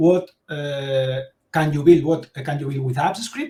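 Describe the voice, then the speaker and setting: A somewhat breathy man with a Spanish accent, fairly high in pitch, at a fairly slow pace with ordinary pitch variation. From Spain, Castellón. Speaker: tech educator, developer expert speaker. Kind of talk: tech talk presentation.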